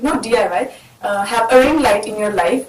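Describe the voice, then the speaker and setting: Noticeable background noise sits under a woman's speaking voice. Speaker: YouTuber. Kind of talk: casual talk to camera. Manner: upbeat.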